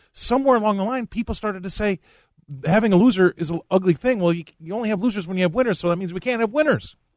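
Talking very fast with lively intonation, a man with an American accent is heard in a dry, close recording with no echo against a quiet background. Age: 50s. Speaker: commodities trader and fill-in co-host. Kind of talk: talk radio.

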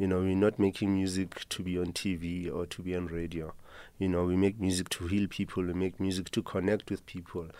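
A man with a South African accent, very deep and low in pitch, dark and mellow in tone, at a fairly quick pace with flat, monotone intonation, on a very clean recording with a silent background. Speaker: band guitarist. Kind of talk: radio interview. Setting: studio.

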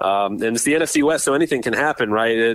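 A plain, everyday voice at a fairly quick pace, dry and close with no echo. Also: man. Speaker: football podcast co-host, team site editor. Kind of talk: casual chat.

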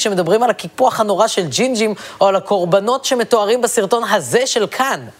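Lively intonation from a man at a fairly quick pace, with noticeable background noise. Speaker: satirical comedy host. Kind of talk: satirical monologue.

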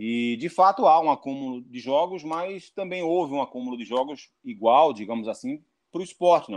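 An ordinary speaking voice moves at a fairly quick pace with lively intonation and hardly any pauses. The background is quiet. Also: man. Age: 40s. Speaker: football pundit. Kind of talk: interview.

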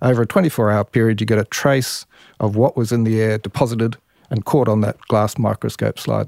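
In an ordinary speaking voice of medium pitch, a man talks at a fairly quick pace, the sound dry and close with no echo on a very clean recording with a silent background. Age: 60s. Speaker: professor and botanist. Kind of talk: interview explanation.

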